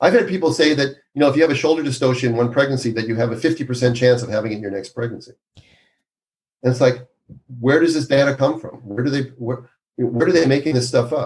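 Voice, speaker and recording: A man with an American accent talks very fast, somewhat breathy. His pitch is medium, with ordinary variation. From Minnesota, US Midwest. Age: 60s. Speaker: obstetrician. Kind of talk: podcast interview. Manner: animated.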